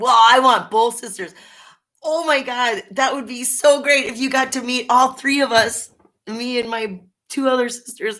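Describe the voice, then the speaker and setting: A woman with a Minnesota accent talks in an animated tone at a high pitch, her pitch varying in an ordinary way. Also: moderate pace. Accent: Minnesota accent with Canadian-sounding A. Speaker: live-stream chat host. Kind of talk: casual live chat.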